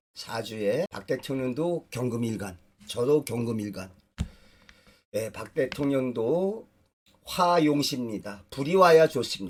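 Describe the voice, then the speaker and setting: At a very slow pace, a man with a medium pitch and lively intonation takes long, frequent pauses, and his loudness swings widely. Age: 60s. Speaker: dream interpreter and fortune teller. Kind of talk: personal storytelling lecture. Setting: studio video recording.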